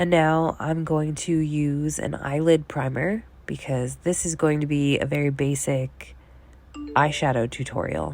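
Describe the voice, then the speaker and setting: With music in the background, a woman speaks in a very deep, low voice at a fairly slow pace, her intonation fairly even. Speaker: makeup tutorial host. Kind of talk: tutorial voiceover. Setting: voiceover recorded in bedroom. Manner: casual, friendly.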